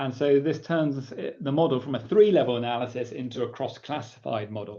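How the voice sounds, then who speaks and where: With an English accent, a man speaks at a fairly quick pace in a medium pitch. His pitch varies in an ordinary way, and audible room echo is present. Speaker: professor. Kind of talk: lecture. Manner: casual, with frequent fillers.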